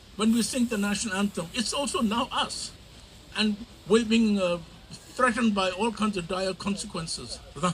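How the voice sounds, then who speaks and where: Against noticeable background noise, a man with a Tibetan accent speaks at a moderate pace in a high voice with fairly even intonation. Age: 70s. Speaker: community elder and activist. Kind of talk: rally speech.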